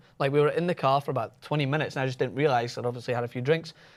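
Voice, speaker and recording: This man speaks with a Scottish accent. His pitch sits fairly high, with ordinary variation. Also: very clean recording, silent background. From Scotland. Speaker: panelist. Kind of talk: casual chat. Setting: studio.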